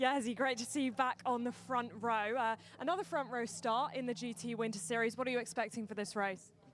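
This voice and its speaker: Speaking at a fairly quick pace with hardly any pauses, a woman uses a fairly high pitch and ordinary pitch variation. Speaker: pit lane reporter. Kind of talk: live grid interviews. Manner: fast.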